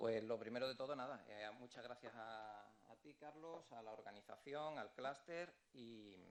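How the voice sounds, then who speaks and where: In an Andalusian accent, a man talks at a medium pitch with ordinary pitch variation. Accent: southern Spanish (Andalusian). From Andalusia, southern Spain. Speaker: architect, engineering project director. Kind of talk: business presentation. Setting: stage at event with livestream audience.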